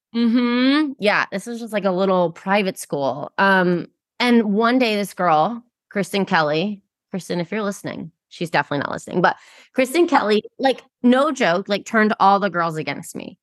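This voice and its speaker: Her tone is animated and her intonation lively as a woman speaks at medium pitch and a moderate pace. The sound is dry and close, with no echo. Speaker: podcast host. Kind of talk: interview chat.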